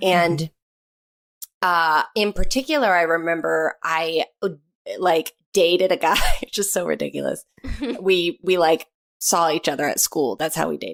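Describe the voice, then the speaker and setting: A woman with fairly low pitch and vocal fry speaks at a moderate pace with ordinary pitch variation and long, frequent pauses, in a dry, close sound with no echo. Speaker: actress. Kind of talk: podcast guest conversation. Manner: casual, hesitant, chatty.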